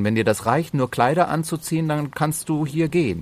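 With a fairly high pitch, a man talks in an unremarkable speaking voice. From Bavaria and Slovenia. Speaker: entertainer and actor. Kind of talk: casual interview.

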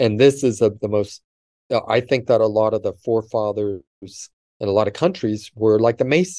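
Against a quiet background, a man with a Californian accent talks at a moderate pace and medium pitch in a dark, mellow tone. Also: dry, close sound with no echo. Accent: Californian American English. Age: 50s. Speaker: vedic astrologer. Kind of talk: interview.

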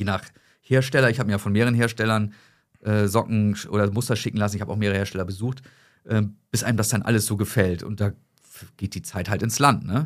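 A man talks very fast at a fairly low pitch with fairly even intonation. He leaves long, frequent pauses. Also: very clean recording, silent background. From northern Germany, Hamburg. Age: 30s. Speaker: sock company founder. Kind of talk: casual chat.

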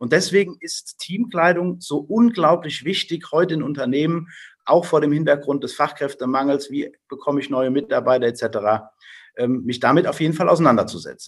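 Lively intonation at a moderate pace from a man, fairly high-pitched, an unremarkable speaking voice. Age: 40s. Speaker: business owner. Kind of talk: interview.

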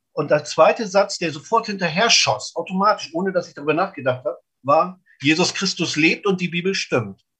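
Lively in intonation, a man with a high pitch speaks at a moderate pace. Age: 50s. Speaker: snack stand owner and lay evangelist. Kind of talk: interview testimony. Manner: emphatic.

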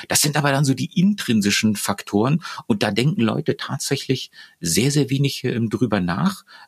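A man's medium-pitched voice with vocal fry and very wide pitch swings, very even loudness, a moderate pace, and a dry, close sound with no echo. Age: 50s. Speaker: neurobiologist and leadership trainer. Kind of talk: interview. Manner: halting, many fillers.

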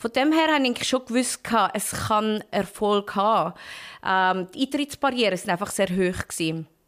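A woman speaks with lively intonation and a fairly high pitch. It is an ordinary speaking voice, delivered at a moderate pace. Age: 30s. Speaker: entrepreneur. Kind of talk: interview.

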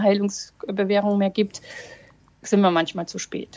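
At a moderate pace, a woman speaks with flat, monotone intonation. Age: 40s. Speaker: lawyer and breast cancer survivor. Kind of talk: casual chat.

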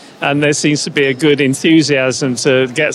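Music plays in the background. A man speaks with fairly even intonation. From Canada. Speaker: head of a national health IT organization. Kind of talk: interview. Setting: on site at a congress in Berlin. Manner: hesitant, with many fillers.

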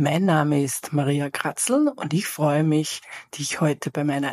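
In a dry, close sound with no echo, a woman talks at a fairly slow pace with a low, raspy voice and a slightly husky edge.

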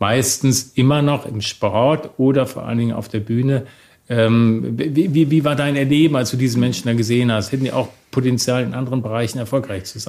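A man has an ordinary speaking voice at medium pitch. He talks at a fairly quick pace with fairly even intonation. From Germany, Bonn. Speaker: podcast host. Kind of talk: interview.

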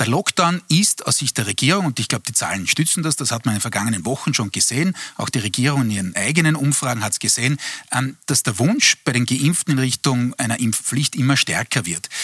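This man has a normal speaking voice at medium pitch, talking at a fairly quick pace with lively intonation in a dry, close sound with no echo. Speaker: political analyst. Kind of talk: TV panel discussion.

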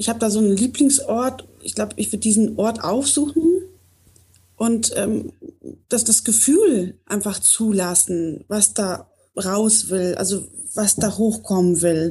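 A somewhat breathy woman at medium pitch, dark and mellow in tone, at a fairly slow pace with ordinary pitch variation. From Poland, raised in North Rhine-Westphalia. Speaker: coaching client. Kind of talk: personal coaching talk. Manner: halting, many fillers.

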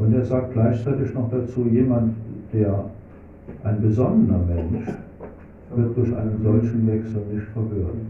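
There is audible room echo as a man speaks at a fairly slow pace with long, frequent pauses. His voice sits at a medium pitch with fairly even intonation. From Germany, Hunsrück region (Rhineland-Palatinate). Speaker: Hare Krishna preacher. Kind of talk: religious lecture with Q&A. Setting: temple hall with live audience.

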